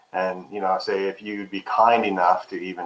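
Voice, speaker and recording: Background noise is clearly audible. Through it, a man talks at a middling speed. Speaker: Google business listing expert. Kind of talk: webinar interview. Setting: video call webinar. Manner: loud.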